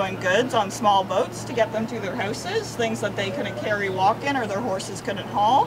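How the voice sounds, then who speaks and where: Over loud background noise, a woman talks at a moderate pace with ordinary pitch variation. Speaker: walking tour guide. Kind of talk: guided tour talk to a group. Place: street. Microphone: camera far.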